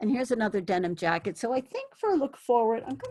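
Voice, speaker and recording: Her voice is fairly high for a woman, swinging very widely in pitch, with vocal fry. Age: 60s. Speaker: thrift fashion vlogger. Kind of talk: casual vlog chat.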